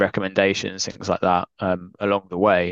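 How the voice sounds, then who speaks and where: A man speaks with a southern English accent at a very deep, low pitch and a moderate pace. The sound is dry and close with no echo, over a quiet background. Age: 20s. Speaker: author. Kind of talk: podcast interview.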